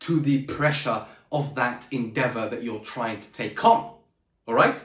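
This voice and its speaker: Shouting in an animated tone, a man with a fairly high pitch uses lively intonation at a moderate pace, and the room echo is audible. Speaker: public speaking coach. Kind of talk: motivational talk to camera. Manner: loud, shouting; high energy, animated.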